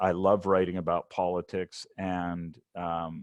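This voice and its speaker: Against a quiet background, a man with an American accent speaks at a fairly slow pace in a dry, close sound with no echo. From United States. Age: 60s. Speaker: science journalist. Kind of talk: presentation. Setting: webinar. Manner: halting, with repeated words and fillers.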